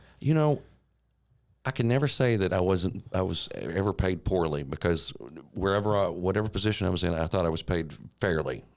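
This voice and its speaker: Over a very clean recording with a silent background, a man with a slight Eastern Kentucky accent talks at a fairly quick pace in a very deep, low pitch, with lively intonation and very even loudness. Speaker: TV meteorologist. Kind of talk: casual chat.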